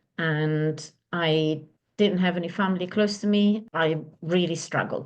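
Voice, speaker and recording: Against a quiet background, a woman with an Italian accent speaks at a fairly slow pace with fairly even intonation. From Italy. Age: 50s. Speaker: divorce and relationship coach. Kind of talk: interview.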